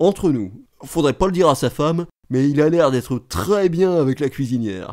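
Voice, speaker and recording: A man's fairly high voice carries a dark, mellow tone and lively intonation. The recording is very clean, with a silent background. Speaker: reader performing comic monologue.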